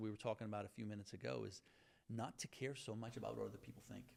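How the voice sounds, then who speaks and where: Vocal fry marks this man's voice. He rattles along at a very fast pace. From Lebanon, raised in southwestern Virginia. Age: 50s. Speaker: attorney, entrepreneur and law professor. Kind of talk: interview. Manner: halting, many fillers.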